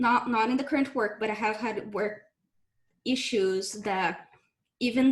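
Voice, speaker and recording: Speaking with a Brazilian accent, a woman keeps a moderate pace, a fairly high pitch and fairly even intonation. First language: Portuguese. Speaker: game developer. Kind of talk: panel discussion.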